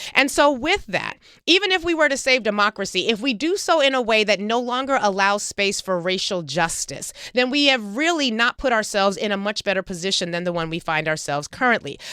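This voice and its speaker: A woman's voice makes very wide pitch swings over noticeable background noise. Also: fairly high pitch for a woman, fairly quick pace, hardly any pauses. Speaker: radio host and town hall moderator. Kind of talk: moderated panel questions. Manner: fast; formal.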